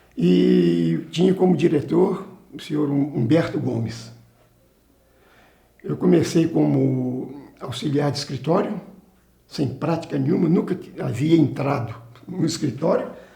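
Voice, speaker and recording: A man speaks at a fairly slow pace, with long, frequent pauses. Audible room echo surrounds his voice. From Brazil, Minas Gerais (Carangola). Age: 70s. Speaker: retired salesman and company employee. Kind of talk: oral history interview. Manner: halting, with frequent restarts.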